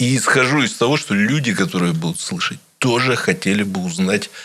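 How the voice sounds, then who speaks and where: The speaker is a man. He talks at a medium pitch. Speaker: radio interviewer. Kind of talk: interview. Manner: measured, deliberate.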